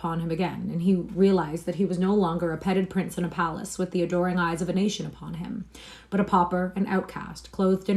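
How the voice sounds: A natural reading voice is heard throughout.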